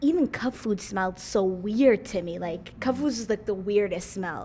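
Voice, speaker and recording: Woman with a Somali accent, medium pitch and ordinary pitch variation, at a fairly slow pace. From Somalia, came to Minnesota as a child. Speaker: community member. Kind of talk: casual chat. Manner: halting, many fillers.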